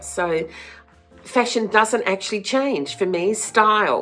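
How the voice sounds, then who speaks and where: A woman speaks at a fairly slow pace with lively intonation and a medium pitch. Music plays in the background. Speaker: former fashion stylist, flower farmer. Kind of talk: casual talk to camera.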